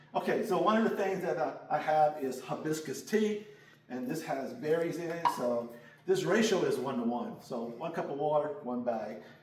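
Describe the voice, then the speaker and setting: With noticeable background noise and audible room echo, a man speaks at a moderate pace in a fairly high pitch, making very wide pitch swings. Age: 60s. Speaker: gospel music artist and video creator. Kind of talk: casual cooking tutorial. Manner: animated.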